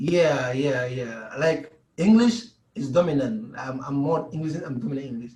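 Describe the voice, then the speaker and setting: In a West African accent, a man with a fairly high pitch talks at a moderate pace, his intonation lively and his loudness swinging widely, with audible room echo. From Gambia. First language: Mandinka. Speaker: pro basketball player. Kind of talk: interview.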